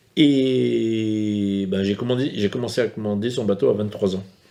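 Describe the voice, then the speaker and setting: Moderate pace, fairly low pitch and a dark, mellow tone from a man. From France, Brittany, Morbihan island. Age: 60s. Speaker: fisherman. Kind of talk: documentary interview. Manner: hesitant.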